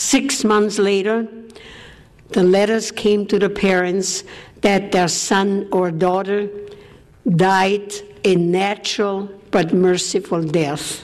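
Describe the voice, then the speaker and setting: A woman with a German accent speaks very slowly with long, frequent pauses and very even loudness, noticeable background noise behind her. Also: medium pitch for a woman, fairly even intonation. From Austria. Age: 80s+. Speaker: war survivor speaker. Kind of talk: testimony.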